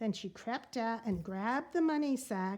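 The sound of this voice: The speaker reads in an unforced reading voice.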